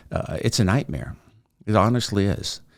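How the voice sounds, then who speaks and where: Vocal fry from a man at a moderate pace, on a very clean recording with a silent background. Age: 60s. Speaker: mental health advocate. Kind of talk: personal testimony. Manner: conversational with hesitations.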